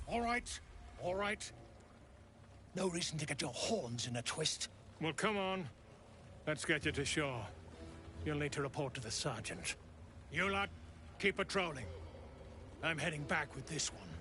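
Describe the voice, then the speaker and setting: A man puts on a gruff character voice, pitched fairly high, at a moderate pace with long, frequent pauses. Background noise is clearly audible. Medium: video game. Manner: crude, gruff.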